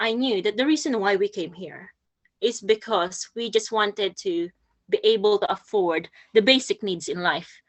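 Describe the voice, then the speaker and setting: Speaking with a Filipino accent, a woman moves at a moderate pace through very wide pitch swings. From Philippines. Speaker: poet and nurse. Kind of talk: talk at a poetry workshop. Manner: halting, many fillers and repeats.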